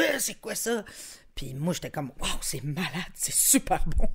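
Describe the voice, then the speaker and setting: A woman keeps a moderate pace in a very clean recording with a silent background. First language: Spanish (speaking French). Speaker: musician. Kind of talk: casual chat.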